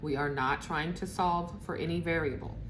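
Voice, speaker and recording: A woman is speaking. Room echo is audible. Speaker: math teacher. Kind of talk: tutorial.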